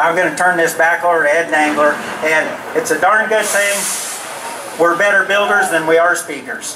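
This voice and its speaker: Over noticeable background noise, a man speaks at a high pitch and moderate pace with fairly even intonation. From US Mountain West. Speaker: roller coaster company founder. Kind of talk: live event speech. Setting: outdoor stage with audience. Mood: grateful, enthusiastic. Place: stage.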